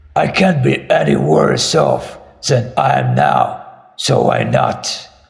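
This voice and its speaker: A man uses a put-on character voice at a fairly slow pace, with very even loudness and audible echo. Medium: read story. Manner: grim, weary.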